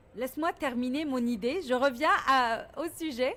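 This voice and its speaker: The pace is very slow. The intonation is lively. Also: woman. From Lebanon (Beirut). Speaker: business leader, founder of women's governance organization. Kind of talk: radio interview. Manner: assertive, resists interruption.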